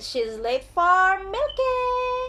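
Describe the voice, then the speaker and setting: A woman does a squeaky, put-on character voice at an extremely high pitch, with clear background noise behind her. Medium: read story.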